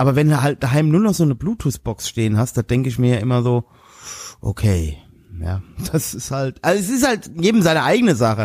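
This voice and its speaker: A fairly high-pitched man talks at a fairly quick pace, sounding somewhat breathy. His pitch swings very widely. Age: 40s. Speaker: podcast co-host. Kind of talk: casual chat.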